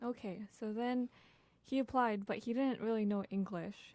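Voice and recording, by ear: With a dark, mellow tone, a woman speaks at a moderate pace and with fairly even intonation.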